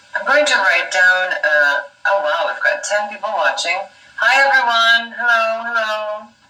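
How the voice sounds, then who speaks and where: At a fairly slow pace, a woman talks in an ordinary speaking voice. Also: fairly high pitch for a woman. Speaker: English teacher. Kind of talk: casual live stream talk to viewers.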